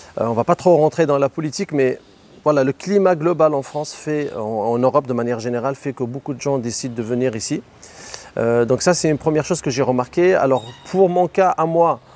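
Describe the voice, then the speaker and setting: A fairly high male voice at a fairly quick pace, with ordinary pitch variation and noticeable background noise. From Morocco, Tangier. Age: 30s. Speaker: real estate agent and online seller. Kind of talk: interview.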